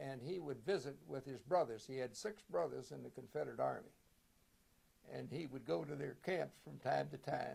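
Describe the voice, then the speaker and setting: A man speaks in a Virginia accent. His pace is moderate. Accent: Virginia Southern US. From Virginia, Shenandoah Valley. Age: 90. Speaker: war veteran. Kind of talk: oral history interview. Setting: reunion, recorded video interview.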